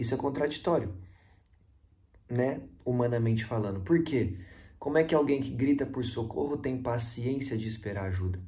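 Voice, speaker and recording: A man's somewhat breathy, dark, mellow voice at medium pitch, moderate pace with long, frequent pauses, ordinary pitch variation and audible room echo. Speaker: evangelist. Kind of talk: devotional Bible teaching.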